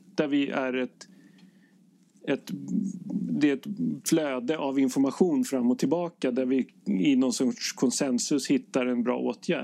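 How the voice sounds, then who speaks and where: This man's delivery is fairly slow. His voice rises and falls in a lively way. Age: 30s. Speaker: intensive care nurse. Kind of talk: casual chat. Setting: ship cabin. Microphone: poor sound quality.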